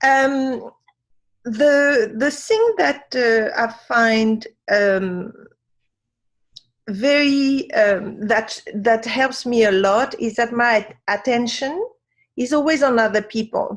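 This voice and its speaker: A very slow French-accented delivery with ordinary pitch variation and long, frequent pauses. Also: woman, high pitch for a woman. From Africa. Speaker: wisdom teacher. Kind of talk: interview. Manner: halting.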